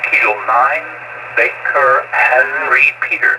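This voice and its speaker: This clip features a male speaker. There is noticeable noise in the background. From Germany. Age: 70s. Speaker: amateur radio operator. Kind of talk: amateur radio contact. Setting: amateur radio transmission.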